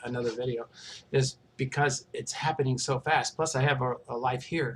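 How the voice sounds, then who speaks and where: A man with a somewhat breathy voice keeps a moderate tempo, his intonation fairly even. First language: not English. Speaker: vlogger describing alien contact experiences. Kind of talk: casual monologue. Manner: hesitant, many fillers.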